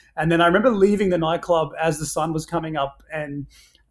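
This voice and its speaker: On a very clean recording with a silent background, a man with an Australian accent speaks at a fairly high pitch and a fairly quick pace, with fairly even intonation. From Papua New Guinea and Australia. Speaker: brand founder and entrepreneur. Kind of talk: casual interview conversation. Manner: hesitant, with many filler words.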